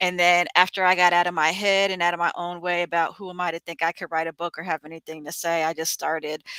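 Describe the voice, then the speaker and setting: A woman's fairly low, bright and sharp voice with an American accent, flat and monotone at a fairly quick pace, dry and close with no echo on a very clean recording with a silent background. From New Jersey. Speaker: author. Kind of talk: interview.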